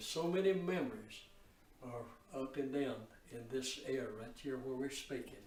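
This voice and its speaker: Over noticeable background noise, a man speaks at a fairly slow pace and a medium pitch. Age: 80s+. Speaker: lifelong resident recalling the past. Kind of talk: interview answer.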